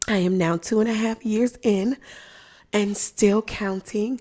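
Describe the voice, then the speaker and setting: A soft-spoken woman with a fairly high pitch and a dark, mellow tone talks at a fairly slow pace. Her intonation is monotone and flat. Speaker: physician and lactation content creator. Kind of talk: livestream product demo. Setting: live online stream. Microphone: good microphone, close.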